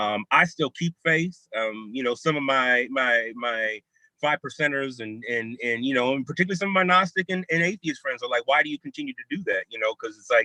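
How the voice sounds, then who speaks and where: A loud man with an American accent, fairly high in pitch and bright, sharp in tone, talking at a fairly quick pace with hardly any pauses, lively intonation and a dry, close sound with no echo. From California. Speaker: theologian and hip hop scholar. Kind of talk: panel discussion over video call. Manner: animated. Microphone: bad internet connection.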